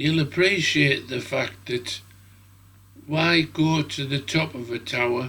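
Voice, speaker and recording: Speaking very slowly with a British accent, a man uses a bright, sharp tone and ordinary pitch variation. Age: 70s. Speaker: drone hobbyist video maker. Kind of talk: casual vlog talk to camera.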